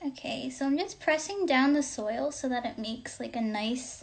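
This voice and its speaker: A woman speaks at a high pitch with ordinary pitch variation. Her pace is fairly slow. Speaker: student club member. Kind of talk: live-stream tutorial. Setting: Instagram live stream. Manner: casual, chatty.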